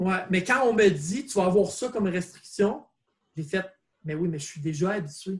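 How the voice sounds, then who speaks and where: The man speaks at a moderate pace. His pitch is high and varies in an ordinary way. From Quebec, north shore of Montreal. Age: 40s. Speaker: breakdancer. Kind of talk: casual interview.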